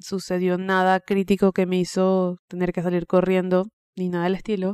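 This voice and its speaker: Recorded with a dry, close sound and no echo, a woman speaks at medium pitch in a dark, mellow tone. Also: very clean recording, silent background. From Venezuela. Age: 20s. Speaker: podcast host. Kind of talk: personal monologue. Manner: conversational.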